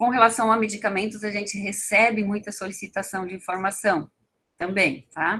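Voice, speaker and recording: Woman's voice, bright and sharp in tone, its intonation fairly even. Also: medium pitch for a woman, moderate pace. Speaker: toxicology information center staff trainer. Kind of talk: training lecture.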